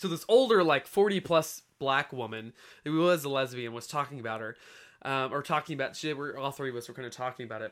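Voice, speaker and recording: Talking at a very fast pace, a man has an American accent and a fairly high pitch with ordinary pitch variation. His loudness swings widely. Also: very clean recording, silent background. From rural US, small town. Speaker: podcast guest. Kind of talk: casual chat.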